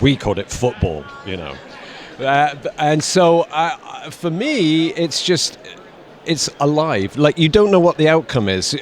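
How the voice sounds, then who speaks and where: Over noticeable background noise, a man talks at a fairly slow pace with lively intonation and a fairly high pitch. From United Kingdom. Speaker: actor. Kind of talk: interview answer.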